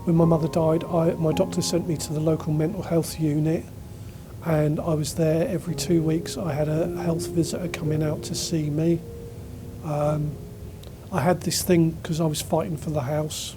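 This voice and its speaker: Amid noticeable background noise and audible room echo, a man with a fairly high pitch speaks at a moderate pace in a monotone, flat intonation. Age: 60s. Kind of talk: documentary interview. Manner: halting.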